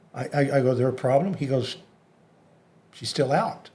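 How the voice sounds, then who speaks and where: A somewhat breathy, dark, mellow voice in a Texan accent. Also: man. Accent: Texan American. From Texas, Dallas area. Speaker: hypnotist. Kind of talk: interview storytelling.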